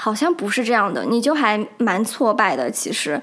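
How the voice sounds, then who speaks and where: With lively intonation, a woman speaks at a moderate pace in a fairly high pitch. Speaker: solo podcast host. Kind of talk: casual monologue. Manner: many filler hesitations.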